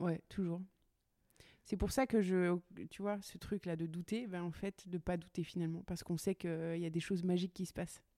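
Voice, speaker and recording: This woman has a dark, mellow tone. She speaks at a moderate pace. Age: 30s. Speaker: welder and furniture maker. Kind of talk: casual interview chat. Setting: her workshop. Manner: upbeat, energetic.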